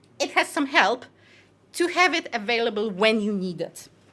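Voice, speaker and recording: At a moderate pace, a woman speaks in a raised, projected voice with a bright, sharp tone and very wide pitch swings. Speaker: conference speaker on software design. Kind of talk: conference talk.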